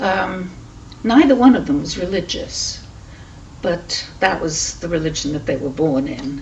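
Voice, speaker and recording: In a British accent, a woman speaks at a fairly slow pace, with noticeable background noise and audible room echo. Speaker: Holocaust refugee witness. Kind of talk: oral history testimony. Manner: hesitant, with many fillers.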